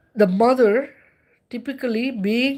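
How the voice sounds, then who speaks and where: With an Indian accent, a woman talks at a moderate pace. Her tone is animated, with very wide pitch swings. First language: Indian language. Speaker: spiritual livestreamer. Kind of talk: livestream monologue. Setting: livestream.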